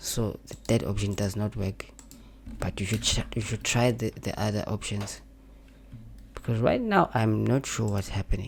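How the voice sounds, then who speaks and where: The speaker has a non-native accent and keeps a moderate pace. Long, frequent pauses break up the speech. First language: not English. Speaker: graphic design tutorial creator. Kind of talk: tutorial. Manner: halting, repetitive.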